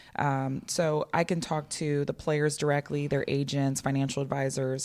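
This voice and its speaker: A woman talks at a fairly quick pace in a very deep, low pitch. The recording is very clean, with a silent background. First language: not English. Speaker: business owner. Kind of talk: podcast interview answer.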